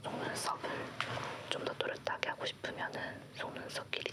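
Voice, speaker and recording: A woman whispers at a fairly slow pace while noticeable background noise continues behind her. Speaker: makeup artist. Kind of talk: makeup tutorial narration. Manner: whispered, soft-spoken.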